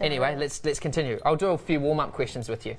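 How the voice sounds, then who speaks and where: Someone with a New Zealand accent talks at a fairly quick pace in an upbeat tone. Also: man. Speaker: radio host. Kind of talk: live TV interview hosting. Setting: radio studio. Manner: upbeat, joking. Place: studio. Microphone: lapel.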